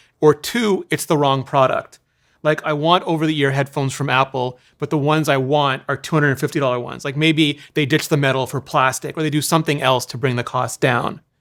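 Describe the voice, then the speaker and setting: A man's fairly high-pitched voice at a fairly quick pace, with fairly even intonation in a very clean recording with a silent background. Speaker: tech analyst and podcast co-host. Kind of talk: casual chat. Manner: fast.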